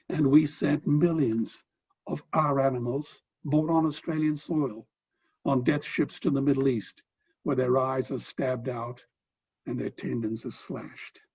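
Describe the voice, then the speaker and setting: This man's voice sits fairly high. It has a somewhat breathy quality. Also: fairly even intonation, fairly slow pace. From Australia. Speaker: philanthropist and animal rights speaker. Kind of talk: speech.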